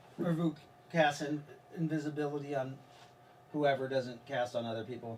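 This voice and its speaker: Over noticeable background noise, a man talks at a fairly high pitch, his intonation fairly even. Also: moderate pace. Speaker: game master. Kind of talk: tabletop role-playing game session.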